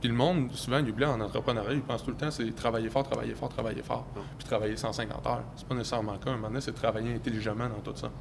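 A very fast, medium-pitched male voice with a Quebec accent, fairly even intonation and hardly any pauses, in audible room echo. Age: 20s. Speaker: young entrepreneur and real estate investor. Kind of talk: casual interview.

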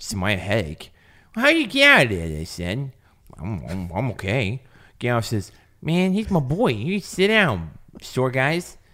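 A man's bright, sharp tone at a medium pitch, with vocal fry, very wide pitch swings and a fairly slow pace, in a very clean recording with a silent background. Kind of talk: casual comedic retelling.

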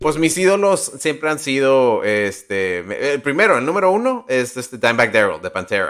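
Hardly pausing, a man speaks at a fairly high pitch. His pitch swings very widely. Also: moderate pace. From Nuevo Laredo / Laredo border. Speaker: podcast co-host. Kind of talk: casual chat.

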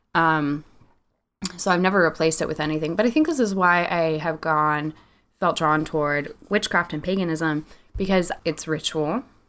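In a very clean recording with a silent background, a woman of fairly low pitch speaks at a moderate pace with fairly even intonation. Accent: American. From California (Visalia). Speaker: podcast co-host. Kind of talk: casual chat.

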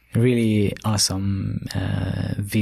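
A dark, mellow tone with monotone, flat delivery in an Israeli accent. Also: man. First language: Hebrew. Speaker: startup CEO. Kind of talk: interview. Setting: studio.

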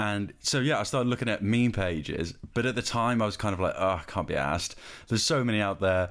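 A man speaks with a West Country accent. His pitch is fairly low and shows ordinary pitch variation. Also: very clean recording, silent background. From southwest England. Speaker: podcast host and designer. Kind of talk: casual interview chat.

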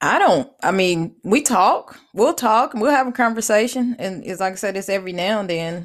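A woman with a plain, everyday voice speaks at a medium pitch and a moderate pace. Her intonation is lively, with hardly any pauses. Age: 40s. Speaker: podcast host. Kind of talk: casual chat.

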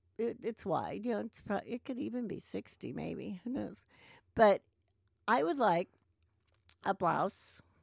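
Dry and close with no echo, a woman speaks at a fairly slow pace, leaving long, frequent pauses. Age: 60s. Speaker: sewing teacher and podcast co-host. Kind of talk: casual chat. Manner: halting.

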